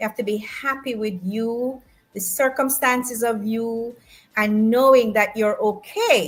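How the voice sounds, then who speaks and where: Music plays in the background as a woman speaks at a fairly slow pace with a fairly high pitch. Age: 60s. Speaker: author. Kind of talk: interview.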